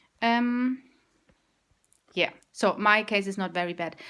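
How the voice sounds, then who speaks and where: A woman's medium-pitched voice with a German accent and lively intonation. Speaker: vegan vlogger. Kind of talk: casual video blog. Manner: halting.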